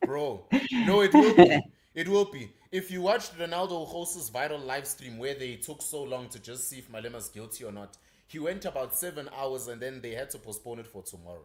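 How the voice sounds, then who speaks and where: A man at a fairly high pitch and fairly quick pace, with lively intonation and big swings in loudness. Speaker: live stream co-host. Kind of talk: casual live stream chat.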